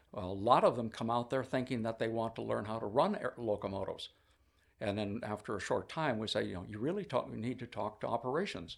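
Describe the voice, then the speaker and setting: In a very clean recording with a silent background, a man with a medium pitch speaks at a very fast pace, his voice showing vocal fry. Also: ordinary pitch variation. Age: 80s+. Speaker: railway museum volunteer diesel foreman. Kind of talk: interview.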